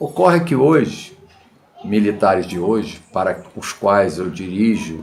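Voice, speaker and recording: A man speaks very slowly at a fairly low pitch, his intonation lively. The room gives an audible echo. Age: 70s. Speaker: political commentator. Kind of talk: video monologue. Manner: halting.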